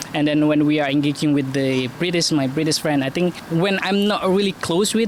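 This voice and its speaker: A man with an Indonesian accent, fairly high pitch, ordinary pitch variation and a moderate pace, amid noticeable background noise. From Indonesia, Malang, East Java. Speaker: university lecturer and student in the UK. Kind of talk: street interview. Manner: halting.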